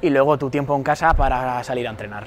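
A man talks at a very fast pace with fairly even intonation. Light background noise is present. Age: 22. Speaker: graduate student and triathlete. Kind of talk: interview testimony. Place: hall. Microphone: lapel.

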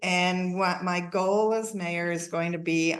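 Very slowly, a woman speaks at a fairly low pitch with a fairly even intonation. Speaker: city council member. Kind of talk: public meeting remarks. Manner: loud; hesitant with fillers.

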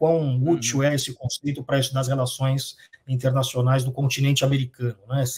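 A somewhat breathy voice at a very fast pace over a quiet background. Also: man. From Brazil. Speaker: professor of international relations; professor. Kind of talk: interview. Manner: hesitant, many fillers. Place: home room.

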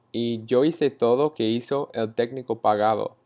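A very slow man's voice with an American accent, dark and mellow in tone, against a quiet background. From Texas (Frisco, north of Dallas); Texas. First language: English (speaking Spanish). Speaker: university student. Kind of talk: class presentation. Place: home room. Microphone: earbuds.

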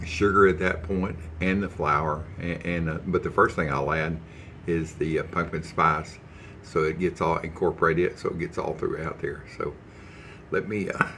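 A man's very deep, low voice with a bright, sharp tone, monotone and flat at a moderate pace, over light background noise. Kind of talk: casual cooking tutorial chat. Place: kitchen. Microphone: phone near.

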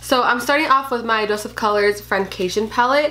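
Speaking at a fairly quick pace with lively intonation, a woman with a fairly high-pitched voice is heard over noticeable background noise. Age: 20s. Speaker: beauty youtuber. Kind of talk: tutorial.

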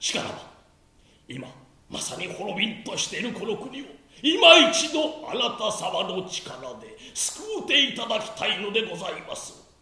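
A man's put-on character voice at an extremely high pitch, moderate in pace, with clear echo. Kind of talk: stage tragedy, archaic humble speech. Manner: reverent, mournful, pleading.

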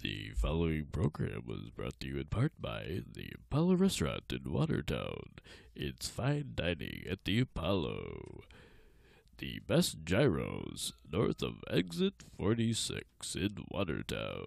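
A man puts on a character voice at a very deep, low pitch. He speaks at a fairly slow pace. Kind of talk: commercial announcer.

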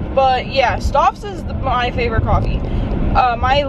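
Noticeable background noise sits behind a woman's voice, which sounds dry with no echo. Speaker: vlogger. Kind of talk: casual vlog chat. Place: car. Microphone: phone near.

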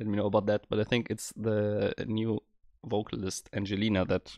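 A man talks at a moderate pace and a fairly low pitch, in a dry sound with no echo and a quiet background. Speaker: music reaction creator. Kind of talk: casual reaction commentary. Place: home room. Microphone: studio mic.

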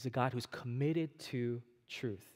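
A man's fairly slow speech comes through with a quiet background. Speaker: preacher. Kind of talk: sermon. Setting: church. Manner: animated, call-and-response; earnest, direct. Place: church.

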